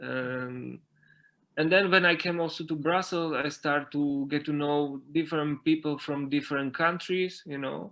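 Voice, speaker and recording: Speaking in a Slovak accent, a man talks at a fairly slow pace with fairly even intonation and a fairly high pitch. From Slovakia, mountain area. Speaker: dancer and dance teacher. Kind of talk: interview. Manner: halting, many fillers and repetitions.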